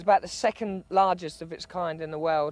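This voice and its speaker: A man with a British accent talks at a fairly quick pace. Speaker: travel presenter. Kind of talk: travel documentary narration.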